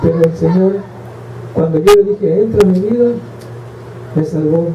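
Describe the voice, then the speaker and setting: The speech shows ordinary pitch variation. Noticeable background noise and audible room echo are present. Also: man. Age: 60s. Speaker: preacher. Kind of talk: sermon. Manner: slightly halting, impaired speech.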